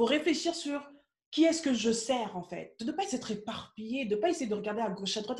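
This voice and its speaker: The tone is dark and mellow. Intonation stays lively throughout. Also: woman. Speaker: business coach. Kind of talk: live stream Q&A coaching. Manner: fast; animated.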